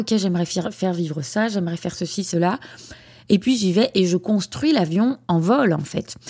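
Her pitch is medium and her intonation lively. She speaks at a moderate pace. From France, Lyon region. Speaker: podcast host, founder of a platform for child therapists. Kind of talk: solo podcast monologue. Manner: hesitant, many fillers and repetitions.

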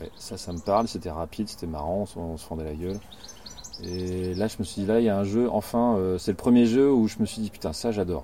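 Over noticeable background noise, a man talks at a fairly quick pace with a fairly low pitch, ordinary pitch variation and big swings in loudness. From rural France. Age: 50s. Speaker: board game designer and graphic artist. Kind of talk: casual interview. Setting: outdoors in a garden.

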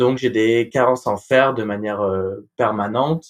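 A man speaks at a fairly slow pace. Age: 20s. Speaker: patient with sickle cell disease, law graduate. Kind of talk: personal testimony. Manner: hesitant, with fillers.

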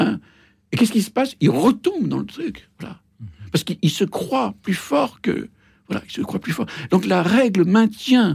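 High in pitch, a man speaks at a fairly slow pace with very wide pitch swings. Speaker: coach and philosopher. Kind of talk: radio discussion. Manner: hesitant, reflective.

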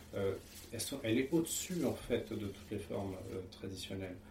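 Audible room echo hangs around a man as he talks. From France, Paris region (Seine). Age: 30s. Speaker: interviewee, husband in interfaith couple. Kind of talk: testimony. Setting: at home. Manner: hesitant, frequent fillers.

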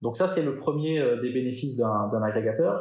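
On a very clean recording with a silent background, a man speaks fairly slowly at a medium pitch. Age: 40s. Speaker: marketing director. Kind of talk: interview. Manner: hesitant, repeats words.

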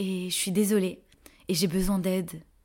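Her voice is dark, mellow and somewhat breathy. The woman speaks at a fairly slow pace. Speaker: podcast host and energy therapist coach. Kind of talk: personal testimony.

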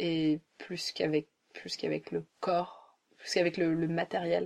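Very slow pace with monotone, flat intonation. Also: woman. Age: 30s. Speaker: journalist. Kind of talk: casual chat. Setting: at host's home, sitting on a bed.

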